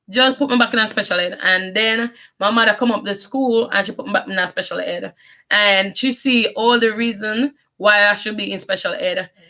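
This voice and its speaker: A woman's fairly high, bright and sharp voice in a strong Jamaican accent, with fairly even intonation at a moderate pace. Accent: Jamaican patois accent, strong. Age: 30s. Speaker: vlogger. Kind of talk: personal life story monologue. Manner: halting.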